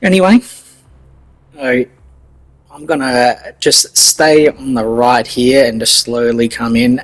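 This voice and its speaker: With an Australian accent, a man talks at a medium pitch with ordinary pitch variation. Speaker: gaming streamer. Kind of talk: live gameplay commentary. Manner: casual, hesitant.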